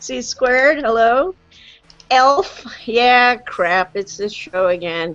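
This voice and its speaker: Loud and at a very slow pace, a woman speaks with a fairly high pitch and very wide pitch swings while music plays in the background. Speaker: live stream host on vaping. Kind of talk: casual live chat. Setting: video call.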